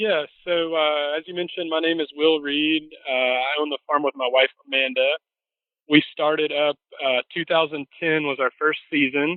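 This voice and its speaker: Fairly high-pitched male speech with a Southern US accent, fairly even intonation and a moderate pace. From US South, Mississippi. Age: 30s. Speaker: farmer. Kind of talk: interview. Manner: casual, many fillers.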